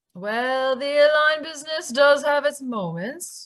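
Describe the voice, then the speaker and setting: The speaker uses a put-on character voice with a high pitch. The pace is fairly slow. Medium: audio drama. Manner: polite, strained.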